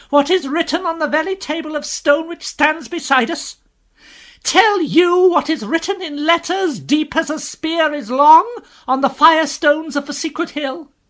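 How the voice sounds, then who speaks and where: A woman's shrill, raised, projected put-on character voice, high in pitch, at a moderate pace on a very clean recording with a silent background. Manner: shrill, indignant.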